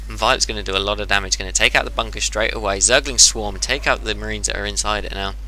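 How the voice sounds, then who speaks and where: A man talks at a very fast pace with a very deep, low pitch. Noticeable background noise is heard. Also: hardly any pauses. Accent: English. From England. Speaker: game commentator. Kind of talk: replay commentary. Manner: animated.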